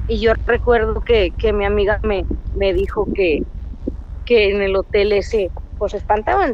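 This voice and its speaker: Noticeable background noise sits under a woman's voice. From Reynosa, Tamaulipas, Mexico. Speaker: caller, former hotel maid. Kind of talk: storytelling. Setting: phone call.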